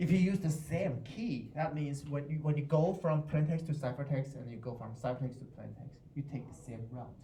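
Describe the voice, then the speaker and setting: With a Chinese accent, a man talks in a fairly high voice with ordinary pitch variation, big swings in loudness and hardly any pauses, amid audible room echo and noticeable background noise. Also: moderate pace. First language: Mandarin Chinese. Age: 40s. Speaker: university professor. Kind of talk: lecture. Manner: halting, with many repetitions.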